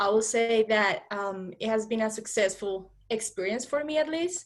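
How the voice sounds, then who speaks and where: Speaking with a Spanish accent, a woman has a fairly high pitch. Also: quiet background. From Colombia. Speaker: HR professional. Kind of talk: interview.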